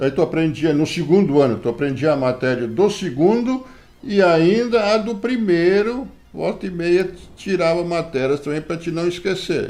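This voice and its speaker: A man's high voice, fairly slow in pace, with lively intonation. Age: 70s. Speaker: grandfather interviewed for school project. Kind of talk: interview. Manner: hesitant, frequent filler words.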